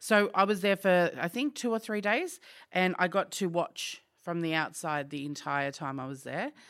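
An Australian accent marks this woman's fairly low-pitched voice, which has lively intonation. She keeps a moderate pace on a very clean recording with a silent background. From Australia, outer suburbs of Melbourne. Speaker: business owner. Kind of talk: interview. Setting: office.

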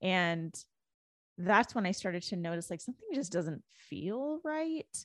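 In a Canadian accent, a woman speaks at a fairly slow pace and medium pitch with very wide pitch swings, on a very clean recording with a silent background and a dry, close sound with no echo. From Canada, Indian immigrant family. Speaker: author and spiritual coach. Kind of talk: personal testimony in interview.

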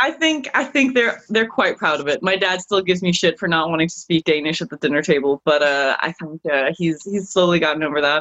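With an American accent, a woman with a fairly low pitch talks at a fairly quick pace with lively intonation and hardly any pauses. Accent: international English with American tinge. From Denmark. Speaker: guest.

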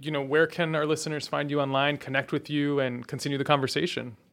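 This man speaks at a fairly quick pace in an unremarkable speaking voice, fairly high in pitch, on a very clean recording with a silent background. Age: young. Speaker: podcast host. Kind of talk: interview. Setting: live event.

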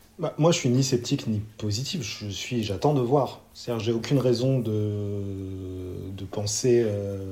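At a very slow pace, a man talks with hardly any pauses in a fairly low pitch with ordinary pitch variation. His voice is somewhat breathy with a dark, mellow tone. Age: 30s. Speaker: football fan co-host. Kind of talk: casual chat.

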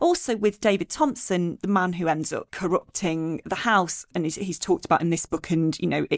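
At a moderate pace and medium pitch, a woman talks in an ordinary speaking voice with ordinary pitch variation. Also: very clean recording, silent background. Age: 40s. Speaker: podcast host. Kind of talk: casual chat.

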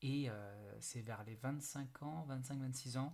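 A man talks in a somewhat breathy voice. His intonation stays fairly even. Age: 30s. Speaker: podcast host, network marketing entrepreneur. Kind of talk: solo podcast monologue. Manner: hesitant, many fillers.

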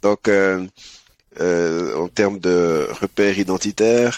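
A man's very deep, low voice, showing ordinary pitch variation, comes through with a dry, close sound with no echo. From Switzerland. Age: 30s. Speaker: app co-founder. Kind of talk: interview.

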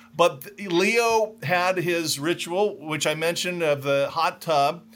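Using a plain, everyday voice, a man with a General American accent speaks at a fairly high pitch with ordinary pitch variation. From US, Southern California (Orange County). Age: 60s. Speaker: socio-economist and author. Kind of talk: interview.

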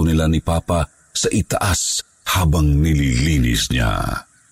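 Very deep, low male pitch, dry and close with no echo, against noticeable background noise. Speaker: storyteller reading listener-submitted ghost stories. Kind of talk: ghost story telling, spooky first-person narration. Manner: hushed, slow, suspenseful, dramatic; earnest, polite.

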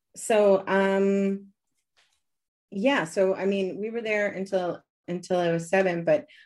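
A woman speaks at a very slow pace in a medium pitch, against a quiet background. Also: long, frequent pauses. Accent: American. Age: 40s. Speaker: cult survivor. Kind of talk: interview. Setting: video call.

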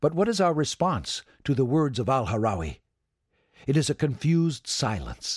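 A man speaks at a moderate pace with very wide pitch swings, very even loudness, a somewhat breathy quality and a dramatic tone. The recording is very clean, with a silent background and a dry, close sound with no echo. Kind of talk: history documentary narration. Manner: dramatic, vivid storytelling.

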